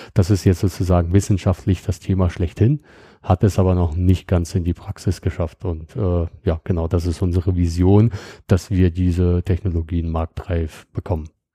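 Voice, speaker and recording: A man's very deep, low, dark and mellow voice, somewhat breathy, at a moderate pace with fairly even intonation, in a dry, close sound with no echo and a very clean recording with a silent background. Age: 30s. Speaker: security startup founder. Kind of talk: technical interview. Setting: on site at company office in Bonn. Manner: frequent filler sounds.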